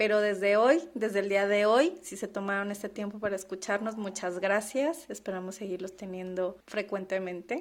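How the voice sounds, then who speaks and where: With an unremarkable speaking voice, a woman of medium pitch talks at a moderate pace, with ordinary pitch variation and hardly any pauses. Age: 30s. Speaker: podcast co-host, finance professional. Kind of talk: casual chat.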